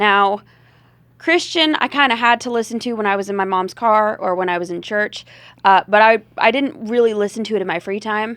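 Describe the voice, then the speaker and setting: A woman speaks with a slight Southern US accent in a fairly high pitch with ordinary variation. Her pace is fairly quick, and the background is quiet. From US South. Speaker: rock and blues singer, comedian. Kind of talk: casual interview chat. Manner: hesitant, many fillers.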